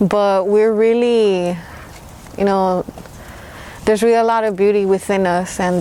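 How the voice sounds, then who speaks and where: A woman speaks at a moderate pace with a medium pitch. Her intonation is monotone and flat. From Mexico, raised in Los Angeles. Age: 30s. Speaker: hip-hop artist. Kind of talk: interview. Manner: casual, hesitant with fillers.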